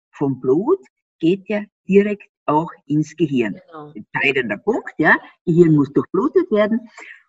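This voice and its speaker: A woman speaks at a medium pitch, somewhat breathy, with very wide pitch swings. Her pace is fairly slow, and the sound is dry and close with no echo. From Austria. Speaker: gut health expert. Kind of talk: interview.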